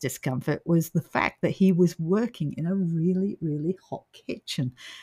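On a very clean recording with a silent background and a dry, close sound with no echo, a somewhat breathy woman with an Australian accent speaks at a fairly slow pace. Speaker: paranormal podcast host. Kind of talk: casual chat.

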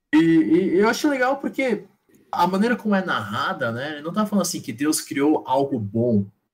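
A man with a high pitch, very wide pitch swings and a moderate pace. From São Paulo, Brazil, Taiwanese descent. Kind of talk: casual chat. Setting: live stream.

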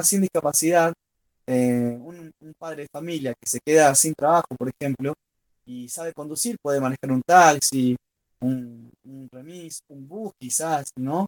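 A man with an Argentine accent speaks at a fairly high pitch with ordinary pitch variation. His pace is moderate, and the sound is dry and close with no echo. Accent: Rioplatense Argentine Spanish. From Argentina, Rosario. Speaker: blind football player. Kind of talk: interview. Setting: remote link.

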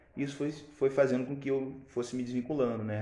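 A man's voice with audible room echo. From Brazil. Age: 20s. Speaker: podcast co-host. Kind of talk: casual chat. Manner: halting.

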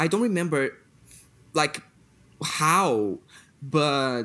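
A man speaks with a Portuguese accent and lively intonation. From Brazil. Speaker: podcast host. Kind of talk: casual chat.

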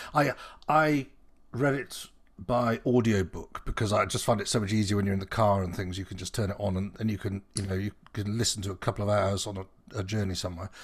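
In a very clean recording with a silent background, a man speaks in a somewhat breathy voice at a fairly low pitch. His pace is fairly quick, with ordinary pitch variation. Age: 50s. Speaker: podcast host. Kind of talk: casual chat.

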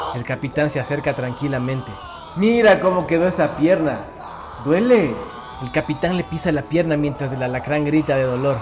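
A man with a fairly high pitch and ordinary pitch variation speaks at a moderate pace amid noticeable background noise. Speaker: horror story narrator. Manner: brisk, showman-like bid calling with rising tempo; oily, flattering salesman charm.

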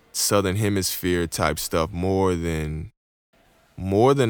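Speaking very slowly with an American accent, a man uses a very deep, low pitch and ordinary pitch variation. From Houston, Texas. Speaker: podcast host, rapper and church teacher. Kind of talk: casual chat. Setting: video call.

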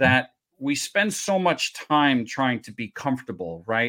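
The recording is very clean, with a silent background. A man speaks at a medium pitch with ordinary pitch variation. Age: 50s. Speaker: podcast host. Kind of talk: podcast interview. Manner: hesitant, many fillers.

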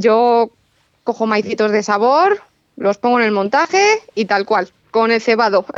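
Speaking at a fairly slow pace, a woman with a fairly high pitch keeps her loudness very even and her pitch variation ordinary, in a dry, close recording with no echo. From central Spain, Madrid near Toledo. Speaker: carp angler. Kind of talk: radio interview.

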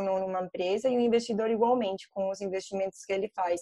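Talking at a very fast pace in a Colombian accent, a woman has a dark, mellow tone and fairly even intonation. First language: Spanish (speaking Portuguese). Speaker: ESG investment analyst. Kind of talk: online panel debate. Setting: video call.

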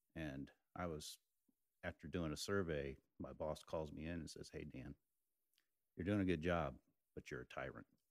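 In a dry, close sound with no echo, a man speaks with very deep, low pitch and vocal fry. His intonation is fairly even and his pace moderate, with long, frequent pauses. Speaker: business manager. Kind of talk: casual chat.

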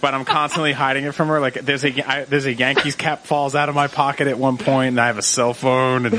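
Amid noticeable background noise, a man speaks very fast with hardly any pauses, in a fairly high voice with fairly even intonation and a playful tone. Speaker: podcast guest. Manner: jokey, playful.

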